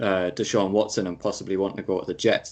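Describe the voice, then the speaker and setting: Against a quiet background, a man with a British accent speaks at a fairly low pitch. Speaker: podcast co-host. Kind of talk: casual chat.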